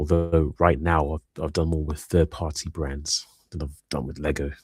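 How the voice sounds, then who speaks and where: A man with a British accent, very deep and low in pitch, with vocal fry and monotone, flat intonation. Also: moderate pace. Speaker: live streamer, hobbyist building minifigures. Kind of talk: casual live stream chat. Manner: soft-spoken in person, louder on streams.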